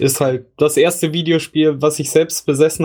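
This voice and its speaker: Fairly high-pitched for a man, this man has an unremarkable speaking voice, fairly even intonation and a moderate pace. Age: 30s. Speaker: gaming podcast host. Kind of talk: casual chat.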